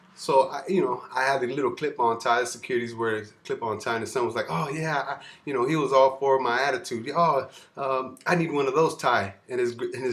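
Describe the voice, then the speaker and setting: A very fast-talking man with an American accent, medium pitch and ordinary pitch variation. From California, US. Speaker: security guard and freestyle vlogger. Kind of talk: casual monologue vlog. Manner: hesitant, many fillers.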